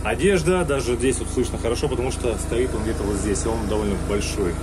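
A man's voice with music in the background. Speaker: worker vlogger. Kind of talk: casual vlog chat. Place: home room. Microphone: phone near.

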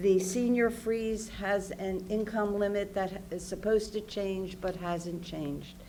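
With audible room echo, a woman speaks at a fairly slow pace in a dark, mellow tone at a medium pitch. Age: 70s. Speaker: member of the public testifying. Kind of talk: public testimony. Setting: public hearing.

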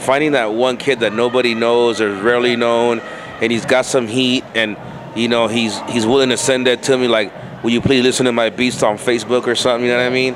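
A man talks at a fairly quick pace with noticeable background noise behind him. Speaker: interviewee. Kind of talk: interview answer. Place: home room. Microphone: handheld.

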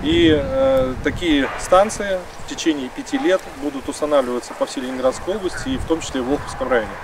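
Amid noticeable background noise but with a dry sound and no echo, a man speaks at a fairly high pitch with ordinary pitch variation. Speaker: district official. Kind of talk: on-site interview. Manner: halting. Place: open country.

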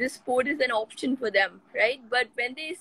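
A woman speaks in a high voice. The sound is dry, with no echo. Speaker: football coach, remote interview guest. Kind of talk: interview answer. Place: home room. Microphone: video call.

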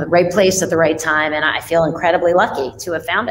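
With light background noise, a woman talks with an American accent in a very deep, low pitch. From New York City, Manhattan; New York City. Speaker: fintech CEO; guest. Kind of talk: interview conversation. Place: home room. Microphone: webcam.

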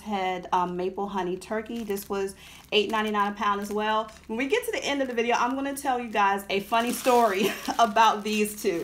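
A woman speaks at a moderate pace in fairly even intonation, and light background noise can be heard. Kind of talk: casual vlog chat. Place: home room. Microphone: phone near.

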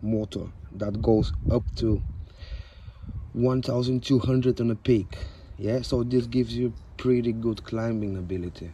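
A man speaks at a very slow pace with long, frequent pauses, his dark, mellow tone somewhat breathy and dry with no echo over light background noise. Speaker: product reviewer. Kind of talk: casual product review. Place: garden. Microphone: phone near.

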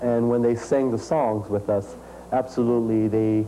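There is light background noise as a man speaks fairly slowly in a flat, monotone way. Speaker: musician and dancer. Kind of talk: interview. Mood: enthusiastic, smiling. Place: home room. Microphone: lapel.

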